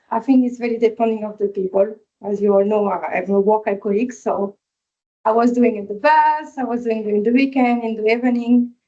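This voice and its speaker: A woman with a non-native accent speaks at a fairly quick pace in a fairly high voice with fairly even intonation. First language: not English. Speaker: hospitality employee, apprenticeship graduate. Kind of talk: workplace info session, sharing experience. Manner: halting.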